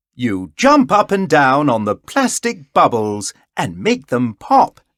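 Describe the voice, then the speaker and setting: A man in a put-on character voice, medium-pitched and fairly slow, with a dry, close sound and no echo. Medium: read story.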